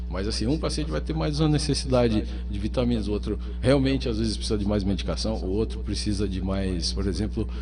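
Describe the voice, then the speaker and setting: Over music in the background, a man with a very deep, low pitch talks at a very fast pace amid audible room echo. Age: 40s. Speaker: psychiatrist. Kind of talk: radio interview.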